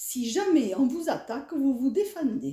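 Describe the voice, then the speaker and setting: A woman at a very slow pace, high in pitch with very wide pitch swings and a dark, mellow tone. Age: 70s. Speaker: elderly interviewee. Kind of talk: interview. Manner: animated.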